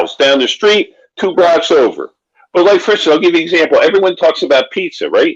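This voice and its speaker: A man speaks with a Philadelphia accent. His pace is very fast. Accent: Philadelphia-area American. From Pennsylvania. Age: 60s. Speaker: author. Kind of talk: casual chat.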